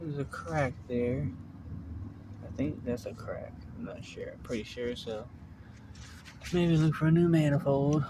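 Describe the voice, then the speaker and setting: The speech is mumbled. Long, frequent pauses break it up. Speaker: car mechanic DIY youtuber. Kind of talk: hands-on tutorial. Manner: mumbling; casual, thinking aloud.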